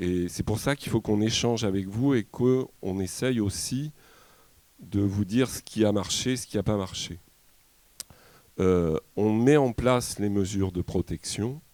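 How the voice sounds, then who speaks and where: A man speaks at a fairly slow pace with long, frequent pauses, his fairly low voice dark and mellow, with ordinary pitch variation and a dry, close sound with no echo. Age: 60s. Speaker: shepherd and livestock farmer. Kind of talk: public talk at a debate. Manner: halting, many hesitations.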